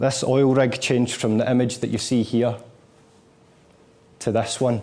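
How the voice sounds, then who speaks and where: A man with a strong Scottish accent, medium pitch, moderate pace and monotone, flat intonation. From Scotland, Glasgow. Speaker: motivational speaker. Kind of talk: lecture.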